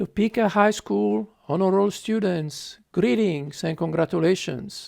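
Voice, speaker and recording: Against a quiet background, a man with an Italian accent speaks fairly slowly in a high pitch with lively intonation. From Italy, Tuscany (Lucca). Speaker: public health physician. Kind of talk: speech to students. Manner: halting, many fillers.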